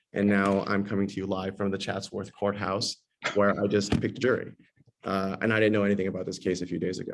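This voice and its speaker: In a Californian accent, a man talks very fast with a fairly low pitch. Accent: Californian American English. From Los Angeles, US West Coast. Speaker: tenant lawyer, panelist. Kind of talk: panel discussion. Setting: video call from a courthouse. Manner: hesitant, many fillers and repeats.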